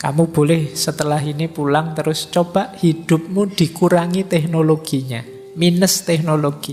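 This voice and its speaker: A man speaks at a moderate pace with fairly even intonation and a fairly high pitch. Music plays in the background. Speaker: philosophy lecturer. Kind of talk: lecture. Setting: hall with live audience, PA system. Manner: soft-spoken.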